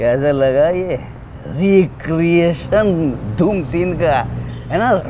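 Light background noise sits behind a man's voice as he talks. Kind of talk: scripted drama dialogue. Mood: playful, conspiratorial. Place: shop.

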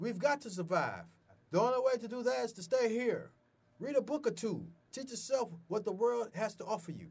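A man talks at an extremely high pitch. His pace is moderate. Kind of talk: scripted drama dialogue, stern advice. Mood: stern, lecturing. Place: home room.

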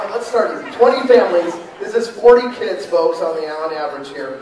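Over light background noise and audible room echo, a man talks at a very fast pace with ordinary pitch variation. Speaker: charity auctioneer. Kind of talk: fundraising appeal to the audience. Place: hall.

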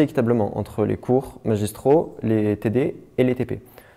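Over a quiet background, a man speaks with a dark, mellow tone and ordinary pitch variation. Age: 20s. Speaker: university student. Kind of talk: testimony. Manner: halting.

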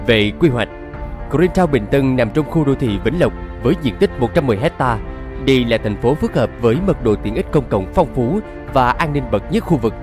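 A man with a Southern Vietnamese accent at a fairly quick pace, with music in the background. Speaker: voice actor. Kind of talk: TV commercial read.

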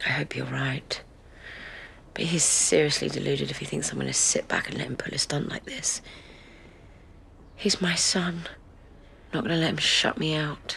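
Moderate-paced whispering interrupted again and again by long pauses. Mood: hurt, determined.

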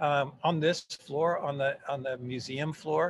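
A somewhat breathy voice with an American accent, at a fairly slow pace, over light background noise. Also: man. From Texas, Fort Worth; Texas. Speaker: museum education director; guest. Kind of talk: casual interview conversation. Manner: hesitant with many fillers. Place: office. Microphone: video call.

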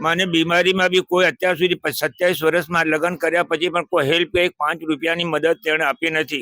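Music in the background behind a man's high, monotone, flat voice, very even loudness, dry and close with no echo. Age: 80s+. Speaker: elderly man living in a shelter. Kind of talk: interview testimony.

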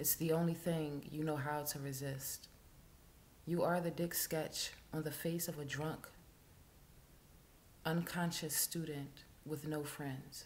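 Over light background noise, a woman with a very deep, low pitch speaks at a very slow pace in a flat monotone, with long, frequent pauses. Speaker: poet. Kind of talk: spoken word poetry reading. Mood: intense, somber. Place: home room. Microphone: webcam.

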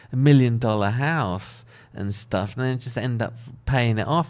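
With a quiet background, a man talks in a British accent. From UK. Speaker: architect. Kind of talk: casual monologue. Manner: casual, hesitant with fillers. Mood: relaxed, conversational. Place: home room. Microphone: studio mic.

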